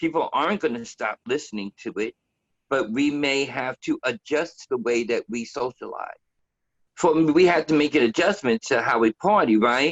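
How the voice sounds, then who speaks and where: Speaking at a moderate pace, a man uses lively intonation in a fairly high pitch. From New York, the Bronx. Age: 60s. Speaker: DJ. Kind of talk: interview. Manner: hesitant, many fillers.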